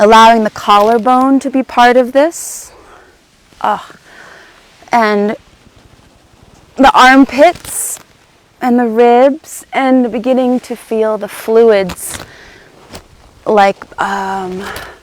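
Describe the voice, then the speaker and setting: Speaking at a very slow pace with long, frequent pauses, a woman has a fairly high pitch. Her pitch variation is ordinary. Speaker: movement teacher. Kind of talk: guided movement class. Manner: loud; halting.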